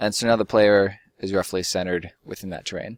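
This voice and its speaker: The man's voice sits fairly low and moves at a moderate pace. Flat and monotone, his intonation barely shifts. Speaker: game development tutorial youtuber. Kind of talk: tutorial. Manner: casual with fillers.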